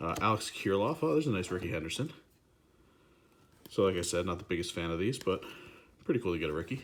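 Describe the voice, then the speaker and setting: Very fast and lively in intonation, a man speaks with a very deep, low pitch. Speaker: card collecting youtuber. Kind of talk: casual unboxing commentary.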